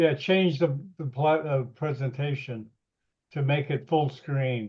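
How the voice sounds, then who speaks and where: Somewhat breathy and fairly high-pitched, a man with an American accent speaks at a fairly slow pace with fairly even intonation. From northern US. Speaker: webinar host. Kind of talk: casual chat.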